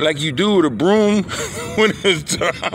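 Against noticeable background noise, a man speaks at a fairly slow pace in a high pitch with ordinary variation. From Philadelphia, US. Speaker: sports vlogger. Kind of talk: casual monologue. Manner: halting.

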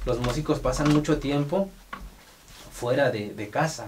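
Light background noise runs under a man's voice. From Mexico, Oaxaca. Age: 30s. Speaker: podcast host. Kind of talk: casual interview. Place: studio.

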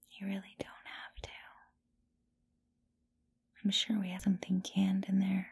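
A soft-spoken voice at a moderate pace. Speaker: roleplay voice actor. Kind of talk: intimate audio roleplay, soft talk to listener. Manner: soft drowsy girlfriend voice.

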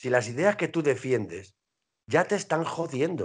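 A man's pitch swings very widely as he speaks at a moderate pace against a quiet background. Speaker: heavy metal singer and band leader; interviewee. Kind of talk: casual interview. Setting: video call. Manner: animated. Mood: argumentative, political. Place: home room. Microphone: video call.

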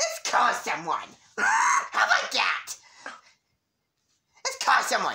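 In a cartoonish character voice, the speaker talks at an extremely high pitch with very wide pitch swings. The pace is fairly slow, with long, frequent pauses. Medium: puppet. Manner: frantic, excitable.

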